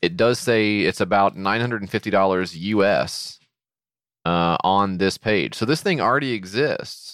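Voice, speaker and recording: A very slow, fairly low male voice with a slight Southern US accent, very even loudness and ordinary pitch variation, on a very clean recording with a silent background. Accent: slight Southern twang. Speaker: podcast co-host. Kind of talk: casual chat.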